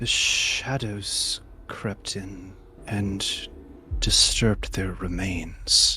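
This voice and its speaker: In a put-on character voice, the speaker goes at a very slow pace with long, frequent pauses over clear background noise. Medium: actual play. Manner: eerie, distant, sparse.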